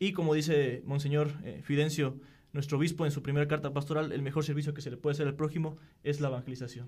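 Talking very fast in a flat monotone, a man with a fairly high pitch sounds somewhat breathy. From Querétaro, Mexico. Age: 20s. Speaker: seminarian. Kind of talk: casual chat.

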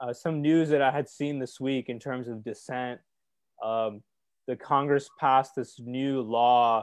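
A plain, everyday voice from a man at a medium pitch, with fairly even intonation and a fairly slow pace. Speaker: discussion moderator. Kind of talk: study group discussion. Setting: online live stream video call.

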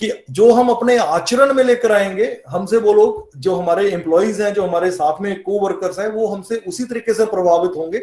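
Moderate pace and ordinary pitch variation from a man with a high voice. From Punjab, India (Jalandhar). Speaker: company CEO. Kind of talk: interview testimony.

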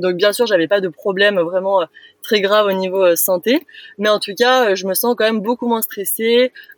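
A woman at medium pitch with ordinary pitch variation and a moderate pace, in a dry, close sound with no echo. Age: 20s. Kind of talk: casual interview. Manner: hesitant, many fillers.

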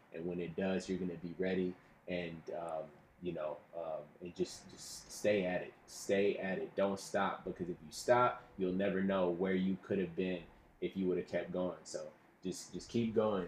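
Very deep and low, a man's voice carries an American accent and a monotone, flat intonation at a moderate pace. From Texas (Houston, Dallas). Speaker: actor and photographer. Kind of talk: casual interview chat.

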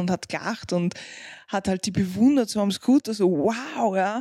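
Her voice dark and mellow, a woman talks at a moderate pace with ordinary pitch variation in a dry, close sound with no echo. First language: not German (speaking German). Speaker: podcast co-host, parent. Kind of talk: casual chat.

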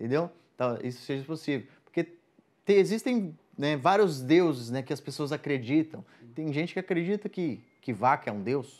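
In a very clean recording with a silent background, a man in a normal speaking voice talks at a moderate pace and fairly high pitch, with lively intonation and big swings in loudness. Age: 20s. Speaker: evangelical guest speaker. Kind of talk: casual faith conversation.

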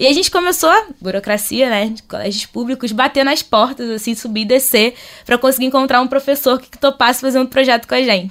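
A woman's high voice at a fairly quick pace, with hardly any pauses, big swings in loudness and ordinary pitch variation. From Rio de Janeiro, North Zone. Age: 20s. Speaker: social entrepreneur. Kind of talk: casual chat.

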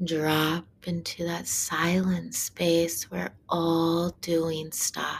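Against noticeable background noise, a woman with a fairly low pitch speaks at a very slow pace in a soothing, calm tone with fairly even intonation. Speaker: meditation guide. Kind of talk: guided meditation. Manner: slow, hushed, soothing; calm, rhythmic, with long pauses.

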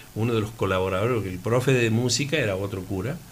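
The man's voice sits at a medium pitch, somewhat breathy, with ordinary pitch variation. Room echo is audible. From Laguna Larga, Córdoba, Argentina. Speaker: athletics coach and local resident. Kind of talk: radio interview.

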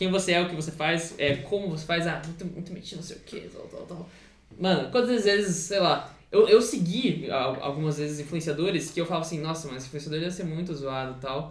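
A man's high-pitched voice at a fairly quick pace, with ordinary pitch variation, big swings in loudness and audible room echo. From São Paulo state, Brazil. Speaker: custom sneaker and clothing artist. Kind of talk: casual chat.

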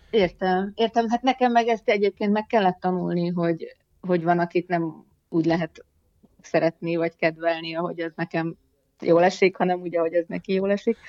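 A woman with a fairly low pitch uses fairly even intonation in a normal speaking voice. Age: 50s. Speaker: poet and writer, teacher. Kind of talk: casual interview chat.

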